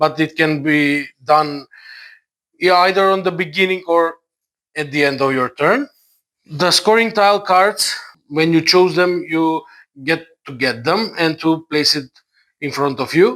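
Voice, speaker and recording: A man speaks at a fairly high pitch in a non-native accent, with a bright, sharp tone and ordinary pitch variation. His fairly slow delivery is broken by long, frequent pauses. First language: not English. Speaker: board game reviewer. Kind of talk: tutorial. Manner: halting, many fillers.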